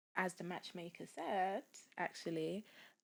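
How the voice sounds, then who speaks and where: A woman talks at a fairly slow pace in a London accent. Her pitch sits fairly low. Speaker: software engineer and dating app founder. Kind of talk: podcast interview.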